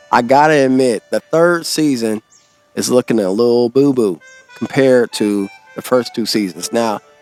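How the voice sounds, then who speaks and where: A man talks at a fairly slow pace with music playing in the background. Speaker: podcast host. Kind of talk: casual podcast talk. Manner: casual, unfiltered.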